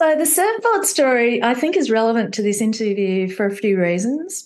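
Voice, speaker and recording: A woman with an Australian accent speaks at a moderate pace with fairly high pitch, very wide pitch swings, and very even loudness. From Australia (Victoria). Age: 60s. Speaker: entrepreneur, company founder. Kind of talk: interview conversation.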